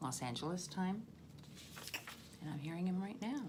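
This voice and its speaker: A woman speaks at a moderate pace with lively intonation, and audible room echo surrounds her voice. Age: 60s. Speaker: political video blogger. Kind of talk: personal commentary monologue.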